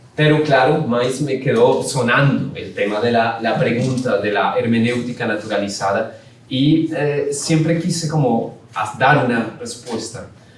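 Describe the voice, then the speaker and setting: With audible room echo and noticeable background noise, a man talks fairly slowly at a medium pitch with ordinary pitch variation. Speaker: philosophy professor. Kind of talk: academic lecture. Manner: halting.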